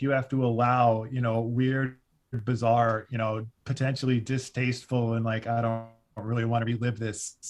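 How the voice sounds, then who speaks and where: Against a quiet background, a man with an American accent talks at a fairly quick pace in an animated tone and a medium pitch. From US Midwest (Cleveland suburbs, Ohio). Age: 40s. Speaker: music critic and podcast host. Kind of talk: podcast interview. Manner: animated, many fillers and restarts.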